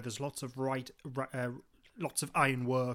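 With a Geordie accent, a man at medium pitch talks at a fairly quick pace. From Newcastle, northeast England. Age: 30s. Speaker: podcast co-host. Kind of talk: casual chat.

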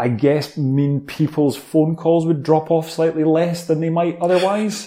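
A fairly slow pace with an Edinburgh accent. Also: man. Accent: Scottish (Edinburgh). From Scotland, Edinburgh. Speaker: entrepreneur, letting agency co-founder. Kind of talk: interview. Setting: at home, remote call.

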